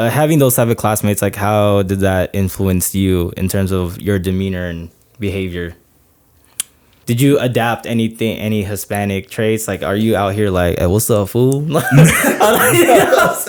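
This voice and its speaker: At a moderate pace, a man with an American accent speaks in a fairly low pitch. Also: ordinary pitch variation. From Northern California, Stockton. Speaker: podcast co-host. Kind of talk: casual chat. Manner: animated.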